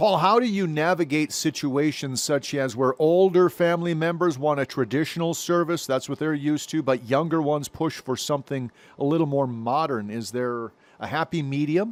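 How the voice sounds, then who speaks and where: A man with an ordinary speaking voice, fairly high-pitched, with ordinary pitch variation at a moderate pace, in a very clean recording with a silent background. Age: 50s. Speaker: TV news anchor. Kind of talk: TV interview.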